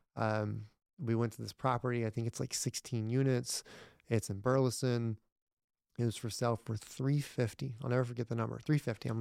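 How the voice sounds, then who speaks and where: An ordinary speaking voice: a man with an American accent talks at a fairly quick pace, medium pitch and fairly even intonation. The sound is dry and close with no echo, on a very clean recording with a silent background. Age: 30s. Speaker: entrepreneur and real estate investor. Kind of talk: casual interview.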